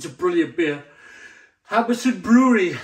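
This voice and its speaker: Ordinary pitch variation from a man, set against a quiet background. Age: 40s. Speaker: beer reviewer. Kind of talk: product review. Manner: animated. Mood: enthusiastic, jovial. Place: kitchen. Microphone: phone near.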